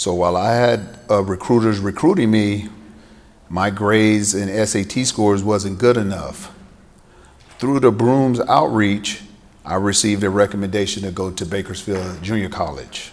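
Speaking with an American accent, a man keeps a moderate pace, a fairly low pitch, and fairly even intonation. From US South, Greenville, South Carolina; South Carolina. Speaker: former football player and author; speaker. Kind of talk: keynote speech. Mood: personal, reflective storytelling. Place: hall. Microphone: podium.

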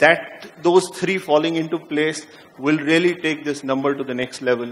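The voice belongs to a man with a fairly high pitch. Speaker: media executive. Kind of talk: panel discussion. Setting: stage with audience. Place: stage. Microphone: handheld.

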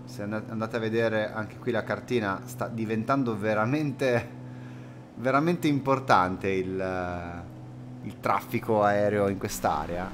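Against noticeable background noise, a man with a fairly low pitch speaks at a fairly slow pace using lively intonation. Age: 30s. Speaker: flight sim streamer. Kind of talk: live stream commentary. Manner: casual, hesitant fillers. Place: home room.

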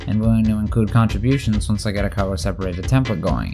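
A man's fairly low voice with lively intonation, music playing in the background. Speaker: video creator narrating own project. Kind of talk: video essay narration.

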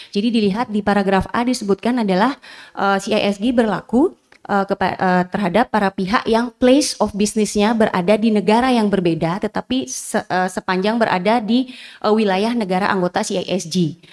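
Against a quiet background, a woman speaks at a moderate pace with ordinary pitch variation and very even loudness. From Indonesia. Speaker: law lecturer and researcher; law lecturer. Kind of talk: academic presentation. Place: hall. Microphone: podium.

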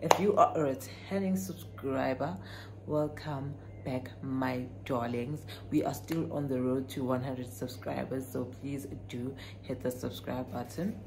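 Noticeable background noise sits behind a woman's voice. She speaks fairly slowly at a very deep, low pitch. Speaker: vlogger. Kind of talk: casual vlog chat. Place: home room. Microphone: phone near.

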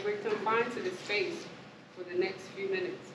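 A woman talks fairly quickly at a medium pitch. Her pitch varies normally, and background noise is noticeable. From Lafayette, Louisiana. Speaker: spoken word poet. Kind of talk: interactive workshop talk to audience. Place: classroom.

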